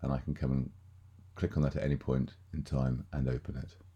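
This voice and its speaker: A man talks at a fairly quick pace. His tone is dark and mellow, with vocal fry. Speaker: software tutorial presenter. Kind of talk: screen-recorded software walkthrough. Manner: monotone.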